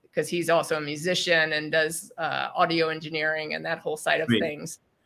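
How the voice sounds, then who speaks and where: Here is a woman with a normal speaking voice and a fairly low pitch. Her pace is fairly quick. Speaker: entrepreneur and podcast host. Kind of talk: interview answer.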